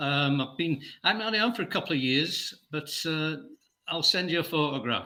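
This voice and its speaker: With a Yorkshire accent, a man with a fairly high pitch and a bright, sharp tone speaks at a moderate pace with lively intonation. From northern England, between Bradford and Leeds, born in Scotland. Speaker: guest. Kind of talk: casual chat.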